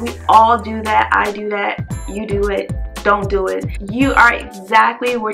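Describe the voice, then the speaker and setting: There is clear music in the background. Over it, a woman talks. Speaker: vlogger. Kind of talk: casual vlog chat. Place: home room.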